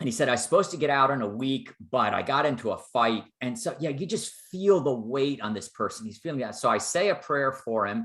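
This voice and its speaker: This man speaks with an American accent at a fairly quick pace. His pitch is medium. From northeastern US. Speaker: professor of theology. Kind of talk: lecture. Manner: fast.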